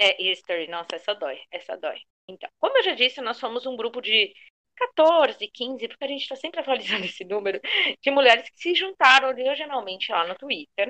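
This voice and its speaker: A woman with a bright, sharp tone and high pitch talks fairly quickly, swinging very widely in pitch and greatly in loudness, in a dry, close sound with no echo. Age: 30s. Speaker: fan podcast co-host, fashion designer. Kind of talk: casual chat.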